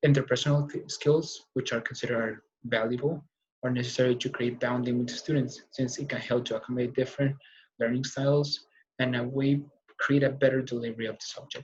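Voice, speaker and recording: A man speaks at a fairly quick pace in a somewhat breathy voice with monotone, flat intonation. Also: medium pitch for a man. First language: not English. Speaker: college student. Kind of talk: class speech. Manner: fast; halting.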